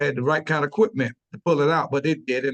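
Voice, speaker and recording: A very fast-talking man with a fairly high pitch, recorded dry and close with no echo. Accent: South Carolina. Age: 60s. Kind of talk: webinar panel discussion. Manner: halting, many repetitions and fillers.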